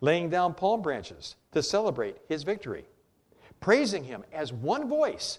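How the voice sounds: This is a natural reading voice. It reads in a natural way.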